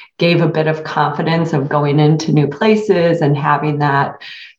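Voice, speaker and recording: In an American accent, a woman with a fairly low pitch speaks with ordinary pitch variation and audible room echo. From rural Michigan, US. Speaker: HR consulting firm owner. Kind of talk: interview.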